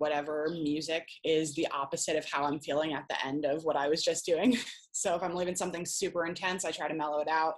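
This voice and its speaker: Speaking at a very fast pace, a woman has a very deep, low pitch. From Rhode Island. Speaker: peer recovery specialist. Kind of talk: casual interview chat.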